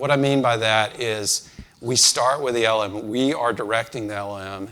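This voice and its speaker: An unremarkable speaking voice from a man, medium in pitch, with ordinary pitch variation at a moderate pace. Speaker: conference speaker, engineering leader. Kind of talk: conference talk.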